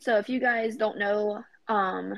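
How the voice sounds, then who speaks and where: Fairly even intonation marks this woman's speech. She has a plain, everyday voice at medium pitch. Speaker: pop culture segment presenter. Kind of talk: casual chat.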